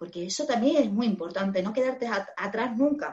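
Fairly high in pitch, a woman speaks in an animated tone with ordinary pitch variation. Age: 40s. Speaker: former hairdresser turned digital marketer. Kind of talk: interview.

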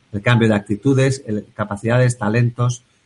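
Somewhat breathy, a man speaks at medium pitch with monotone, flat intonation, the sound dry and close with no echo. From Basque Country, Bilbao. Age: 40s. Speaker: engineer and productivity coach. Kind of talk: interview.

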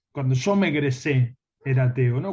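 This man has a dark, mellow tone and a medium pitch. There is a somewhat breathy quality to his voice. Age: 40s. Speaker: philosophy teacher. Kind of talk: interview.

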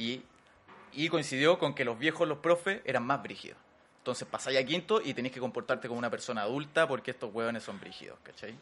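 The speaker talks very fast in a Chilean accent. Pitch moves in an ordinary way, while loudness swings widely. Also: man, medium pitch for a man. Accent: Chilean Spanish, colloquial. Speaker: actor. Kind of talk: casual chat.

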